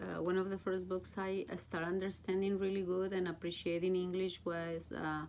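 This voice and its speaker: A woman speaks with a Mexican accent at a medium pitch, fairly quickly and with hardly any pauses. Her loudness stays very even, and her intonation is flat and monotone. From Mexico. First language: Spanish. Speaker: Bible study teacher. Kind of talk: casual chat.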